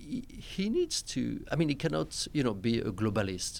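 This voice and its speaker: A man talks at a moderate pace with a French accent. The recording is very clean, with a silent background. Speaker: diplomat. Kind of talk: panel discussion. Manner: halting.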